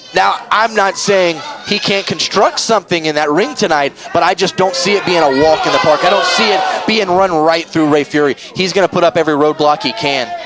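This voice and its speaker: A man's high-pitched voice with ordinary pitch variation and very even loudness, at a fairly quick pace over crowd noise in the background. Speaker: wrestling commentator. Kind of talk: live wrestling commentary.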